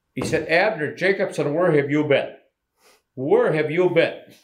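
Speaking with an American accent, a man uses a fairly high pitch. Vocal fry shows up in his voice. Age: 90s. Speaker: retired auctioneer. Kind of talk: interview. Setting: recorded in person.

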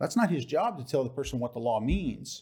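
The man's pitch swings very widely. He sounds somewhat breathy and keeps a moderate pace. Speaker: author and political activist. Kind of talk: interview. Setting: studio.

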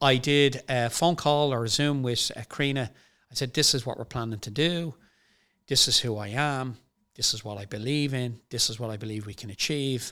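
A man with an Irish accent speaks at medium pitch and a moderate pace, with ordinary pitch variation and big swings in loudness. His tone is bright and sharp, on a very clean recording with a silent background. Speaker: company CEO. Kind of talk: casual chat.

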